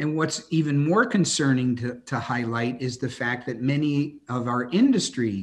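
Somewhat breathy, a man's voice unfolds at a very slow pace. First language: English (speaking French). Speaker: industry association CEO; guest. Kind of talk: webinar interview. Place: home room. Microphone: video call.

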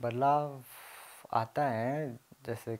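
A man talks with fairly even intonation. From Mauritius. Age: 20s. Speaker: graphic design student; interviewee. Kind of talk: interview. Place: home room.

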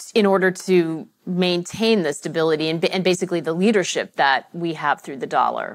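A woman with a fairly low pitch talks in a normal speaking voice at a moderate pace, with hardly any pauses. Her pitch varies in an ordinary way, and the background is quiet. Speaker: journalist and event moderator. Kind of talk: moderated panel discussion. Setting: stage with live audience. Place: stage. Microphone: lapel.

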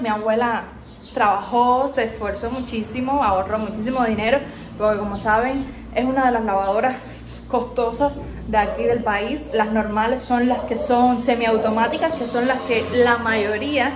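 Over noticeable background noise, a woman speaks in a high voice at a moderate pace. Her intonation stays fairly even. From Cuba. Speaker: YouTuber. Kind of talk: casual house tour to camera. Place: kitchen. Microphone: phone near.

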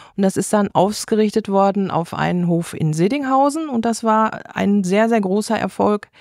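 A woman with an ordinary speaking voice talks at medium pitch and a moderate pace, with ordinary pitch variation. The sound is dry and close with no echo, on a very clean recording with a silent background. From Westphalia, Germany (near Unna). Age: 60s. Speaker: florist and association board member. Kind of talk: interview.

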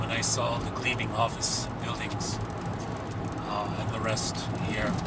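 A man talks at a fairly slow pace. The sound is dry with no echo, under loud background noise. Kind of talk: casual travel vlog commentary. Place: car. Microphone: phone near.

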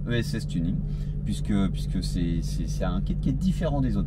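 With music in the background, a man talks at a fairly slow pace. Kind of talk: casual vlog chat. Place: car. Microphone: lapel.

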